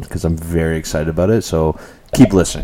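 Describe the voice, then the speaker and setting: A very fast pace with ordinary pitch variation. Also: man. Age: 30s. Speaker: podcast host. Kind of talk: casual chat. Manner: animated.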